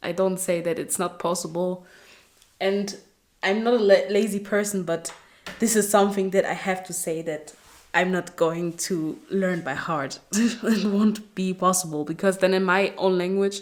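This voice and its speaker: The woman speaks with a non-native accent at a medium pitch. Her intonation is fairly even. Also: moderate pace. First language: not English. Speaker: Bible reading video creator. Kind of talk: casual chat; reading aloud. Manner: halting on long names.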